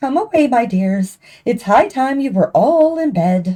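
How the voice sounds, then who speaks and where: In a put-on character voice that sounds shaky, the speaker moves at a moderate pace with very wide pitch swings. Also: female-sounding voice, high pitch for a woman. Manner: anxious, urgent.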